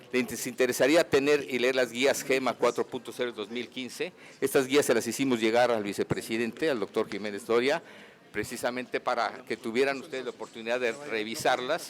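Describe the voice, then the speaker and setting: Fairly even intonation and a fairly quick pace in a normal speaking voice. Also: man, medium pitch for a man. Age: 60s. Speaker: physician giving a conference talk. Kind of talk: medical lecture.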